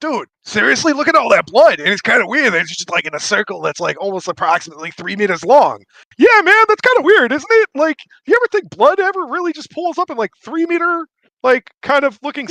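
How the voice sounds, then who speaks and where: Using a put-on character voice, a man goes extremely high in pitch with very wide pitch swings at a fairly quick pace. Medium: actual play. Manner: casual, slangy.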